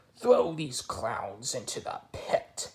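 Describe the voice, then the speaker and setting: A man performs a put-on character voice. He growls as he speaks. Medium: read story. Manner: gruff, bossy.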